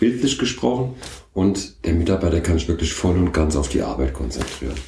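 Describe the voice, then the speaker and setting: A man's very deep, low voice at a moderate pace, with very wide pitch swings. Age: 50s. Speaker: company founder and managing director. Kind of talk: interview.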